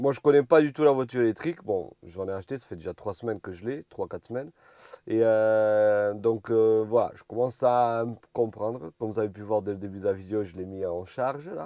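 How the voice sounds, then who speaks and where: Over a quiet background, a man talks at a fairly quick pace in a dark, mellow tone. The sound is dry and close, with no echo. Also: big swings in loudness. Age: 20s. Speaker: truck driver vlogger. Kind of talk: casual vlog talk. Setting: outdoors in a parking lot by a road. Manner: hesitant with fillers.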